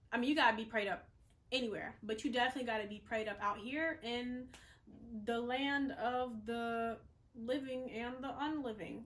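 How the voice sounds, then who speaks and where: Over audible room echo, a woman with an American accent speaks at a moderate pace in a high pitch with fairly even intonation. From the Carolinas, US South. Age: 20s. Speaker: vlogger and model. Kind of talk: casual vlog talk to camera. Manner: filler-heavy, conversational.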